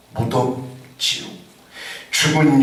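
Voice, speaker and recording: Through noticeable background noise and audible room echo, a man speaks at a very slow pace. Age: 60s. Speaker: pastor. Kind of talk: sermon.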